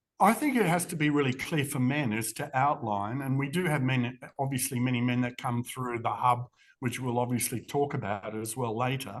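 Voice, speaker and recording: Speaking in an Australian accent, this voice moves at a moderate pace. Its pitch varies an ordinary amount. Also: man, medium pitch for a man. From Western Australia. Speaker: charity CEO. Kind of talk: interview.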